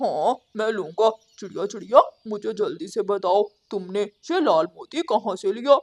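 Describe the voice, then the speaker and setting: A cartoonish character voice with a fairly high pitch moves along at a fairly slow pace. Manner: loud, repetitive calling.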